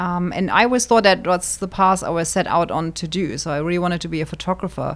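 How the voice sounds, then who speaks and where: A woman with a fairly low pitch and some vocal fry. She talks at a very fast pace with hardly any pauses and ordinary pitch variation. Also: very clean recording, silent background. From Germany, Wiesbaden near Frankfurt. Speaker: interior designer, podcast co-host. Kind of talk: casual interview chat.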